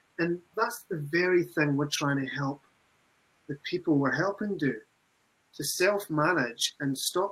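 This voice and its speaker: This man talks at a fairly slow pace. His pitch is fairly high and varies in an ordinary way. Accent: Scottish. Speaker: recovery program manager. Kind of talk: webinar discussion.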